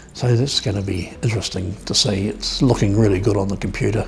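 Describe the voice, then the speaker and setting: A man with a New Zealand accent talks very fast. There is noticeable background noise. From New Zealand South Island, Dunedin. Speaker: photographer. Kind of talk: documentary interview.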